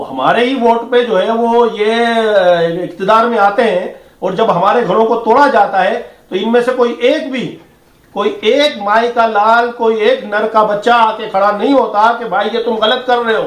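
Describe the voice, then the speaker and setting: An angry tone with ordinary pitch variation. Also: man, high pitch for a man. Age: old. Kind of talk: street interview, public complaint. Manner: angry, impassioned.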